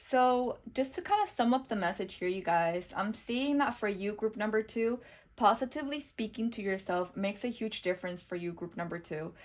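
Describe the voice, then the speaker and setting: Her voice fairly high, a woman speaks at a moderate pace with ordinary pitch variation and hardly any pauses. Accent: non-native. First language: not English. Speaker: tarot reader. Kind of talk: tarot reading monologue. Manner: warm, reassuring.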